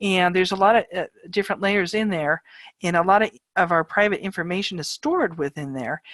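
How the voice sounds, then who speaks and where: In a normal speaking voice, a woman talks at a medium pitch with ordinary pitch variation. Her fairly quick speech has a dry, close sound with no echo. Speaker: online college professor. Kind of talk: lecture. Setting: video call.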